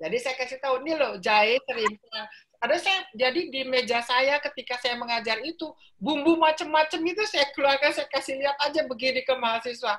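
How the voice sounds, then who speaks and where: A woman's bright, sharp voice at a moderate pace. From Jakarta, Indonesia. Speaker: professor of philology. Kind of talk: interview. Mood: cheerful, animated. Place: home room.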